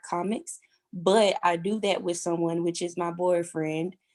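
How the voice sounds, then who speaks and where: This woman has a Louisiana accent. Her pitch is medium. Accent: Southern US (Louisiana). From Louisiana, US South. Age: 20s. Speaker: aspiring model. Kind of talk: podcast interview. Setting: podcast. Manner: casual, many fillers.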